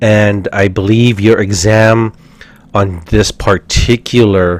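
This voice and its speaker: A man with a fairly low pitch and fairly even intonation talks over noticeable background noise. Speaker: respiratory therapy instructor. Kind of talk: lecture.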